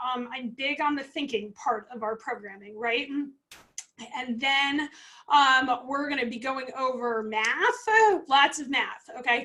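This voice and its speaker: A high-pitched woman projects her voice in a raised manner. The tone is bright and sharp, and her pitch varies in an ordinary way. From New England. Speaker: food safety consultant and coach. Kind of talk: webinar presentation. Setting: livestream via video call software at home. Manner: animated.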